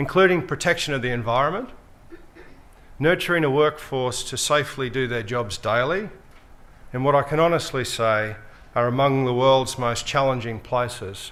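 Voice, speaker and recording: Long, frequent pauses break up a man's medium-pitched speech at a moderate pace, delivered with an Australian accent amid audible room echo. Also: ordinary pitch variation. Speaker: mining company executive. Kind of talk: conference speech. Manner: formal.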